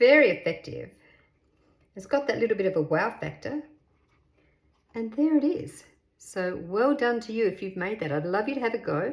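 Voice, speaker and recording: A woman with an Australian accent sounds cheerful and animated, her fairly high pitch swinging very widely and her loudness shifting a lot. She keeps a moderate pace, broken by long, frequent pauses. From Western Australia, Perth. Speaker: craft youtuber. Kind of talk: tutorial. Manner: cheerful, animated.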